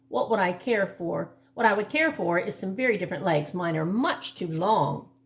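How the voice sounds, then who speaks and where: A put-on character voice from a woman, medium in pitch and moderate in pace. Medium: read story. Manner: gloomy, sighing.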